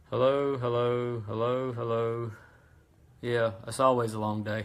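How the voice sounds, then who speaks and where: The speech comes at a fairly slow pace in a monotone, flat intonation, with audible room echo. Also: man, medium pitch for a man. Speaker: small engine parts business owner. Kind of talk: live-stream tutorial. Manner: halting, lots of ums and stutters.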